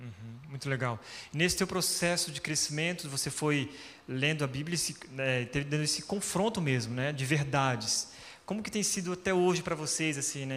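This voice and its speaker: In a normal speaking voice, a man talks at a moderate pace and a fairly high pitch with ordinary pitch variation. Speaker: pastor. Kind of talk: church stage interview. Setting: stage with audience.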